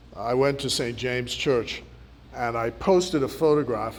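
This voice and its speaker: Against audible room echo, a man talks at a moderate pace in a medium pitch with ordinary pitch variation. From Bahamas (Nassau). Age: 60s. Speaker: politician. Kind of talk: speech to students. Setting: community centre hall with audience.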